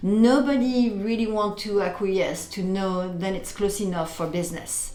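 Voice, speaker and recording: Against audible room echo, a woman with a French accent speaks at a fairly slow pace. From France, Paris. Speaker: interior and furniture designer. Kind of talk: casual interview.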